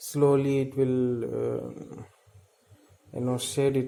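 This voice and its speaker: A man speaks at a very slow pace in a medium-pitched, monotone voice with flat intonation. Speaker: plant hobbyist video creator. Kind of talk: casual show-and-tell tutorial. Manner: hesitant, many filler sounds.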